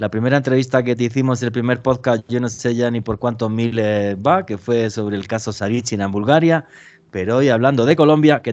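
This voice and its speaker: A man talks with a Spanish accent. His pace is fairly quick. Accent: Spanish (Spain). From Spain. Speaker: podcast host. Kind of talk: interview.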